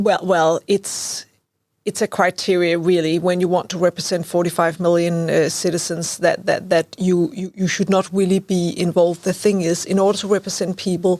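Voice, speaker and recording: The speaker uses a monotone, flat intonation with a Danish accent at a moderate pace. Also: woman, fairly low pitch for a woman. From Denmark. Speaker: lawyer and legal researcher. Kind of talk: interview. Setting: studio.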